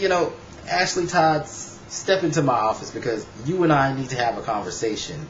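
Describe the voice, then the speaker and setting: Against noticeable background noise and audible room echo, a man speaks with a fairly high pitch and lively intonation. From United States. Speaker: YouTube vlogger. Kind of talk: casual vlog commentary. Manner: fast.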